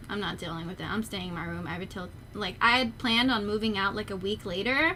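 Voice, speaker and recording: The voice has a bright, sharp tone and moves at a fairly quick pace. Its intonation stays fairly even. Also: woman. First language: not English. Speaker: streamer. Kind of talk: casual chat.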